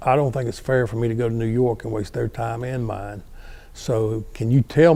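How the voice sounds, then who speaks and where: A man with a North Carolina accent, a dark, mellow tone, a somewhat breathy quality and a fairly quick pace. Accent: US Southern (North Carolina). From North Carolina, Guilford County. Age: 70s. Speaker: retired fire battalion chief. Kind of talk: oral history interview.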